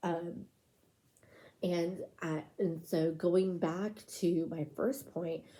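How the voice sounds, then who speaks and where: A soft-spoken woman's dark, mellow voice, fairly low in pitch with ordinary pitch variation, at a very slow pace. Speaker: ASMR creator. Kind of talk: soft-spoken ASMR ramble.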